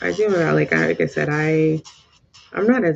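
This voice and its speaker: Noticeable background noise behind a woman's voice with an American accent. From Southern California. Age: 30s. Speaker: lifestyle vlogger. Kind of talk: casual chat. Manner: halting.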